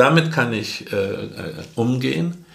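The speech moves at a very slow pace. Audible room echo can be heard. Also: man. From Germany, rural area. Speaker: podcast co-host, father. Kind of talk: casual chat. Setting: same room, recorded together.

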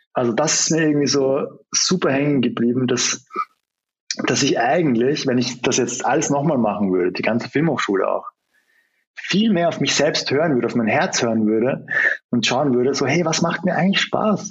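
With a slight Austrian accent, a man speaks at a fairly high pitch. His pitch swings very widely. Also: very even loudness. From Austria, Vienna. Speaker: film director and screenwriter. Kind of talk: interview. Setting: remote call.

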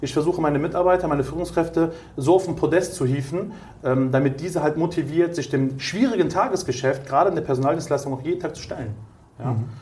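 A man talks very fast at a fairly high pitch. Noticeable background noise and audible room echo surround him. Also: ordinary pitch variation. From Germany, Cologne. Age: 30s. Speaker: entrepreneur in staffing industry. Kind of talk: interview.

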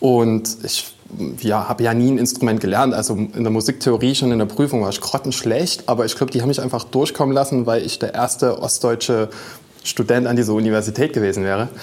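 Against noticeable background noise, a man with a medium pitch talks very fast with fairly even intonation. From Dresden, Saxony. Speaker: musician. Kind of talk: casual chat.

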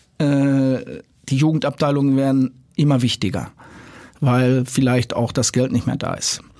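A man's medium-pitched voice stays monotone and flat in intonation as he speaks fairly slowly. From Dortmund, Ruhr area, Germany. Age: 60s. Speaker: youth football director. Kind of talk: casual interview. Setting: studio. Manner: halting, many fillers.

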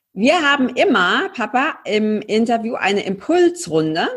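A woman with a fairly high, somewhat breathy voice speaks at a very slow pace on a very clean recording with a silent background. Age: 30s. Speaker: podcast host and coach. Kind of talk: casual interview.

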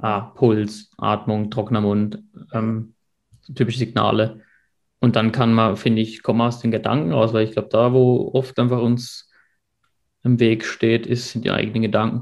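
Monotone, flat intonation carries a man's speech at a moderate pace. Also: medium pitch for a man, quiet background. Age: 30s. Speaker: mechanical engineer between jobs. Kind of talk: casual interview.

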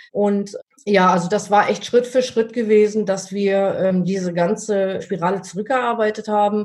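A woman speaks at medium pitch with monotone, flat intonation. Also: moderate pace. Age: 50s. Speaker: dog trainer. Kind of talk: interview. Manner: hesitant, many filler sounds.

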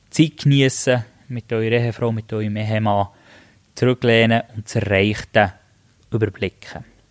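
In a very clean recording with a silent background and a dry, close sound with no echo, a man of medium pitch talks at a moderate pace with fairly even intonation, long, frequent pauses and big swings in loudness. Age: 30s. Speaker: podcast host, master gardener and business owner. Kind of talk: podcast introduction monologue.

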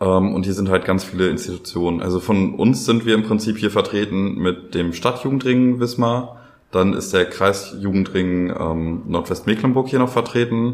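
A man's fairly low voice at a moderate pace, with ordinary pitch variation and hardly any pauses. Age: 20s. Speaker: youth participation facilitator, trained educator. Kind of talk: casual interview chat. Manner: hesitant, many fillers.

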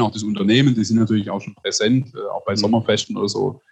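A man speaks at a medium pitch. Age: 30s. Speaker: publisher, family business owner. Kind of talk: interview conversation. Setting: video call.

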